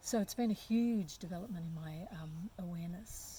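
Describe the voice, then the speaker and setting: A somewhat breathy woman with an Australian accent talks at a fairly slow pace. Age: 60s. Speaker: community development worker. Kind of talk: interview. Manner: hesitant, many fillers.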